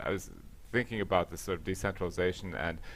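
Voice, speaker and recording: Very fast speech from a man with a very deep, low pitch and an American accent. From US, Latvian diaspora family. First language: Latvian. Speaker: panelist. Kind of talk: panel discussion.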